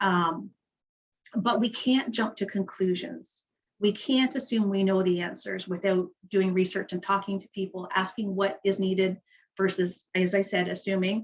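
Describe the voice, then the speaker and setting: A woman talks at a moderate pace with a medium pitch. Her voice is somewhat breathy and her intonation fairly even. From Canada, Kingston, Ontario. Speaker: nonprofit leader. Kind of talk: community panel talk. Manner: halting, self-correcting.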